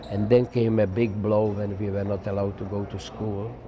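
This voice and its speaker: Amid audible room echo and noticeable background noise, a man speaks at a very slow pace. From Czechoslovakia. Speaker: Holocaust survivor. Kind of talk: interview testimony. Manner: halting with fillers.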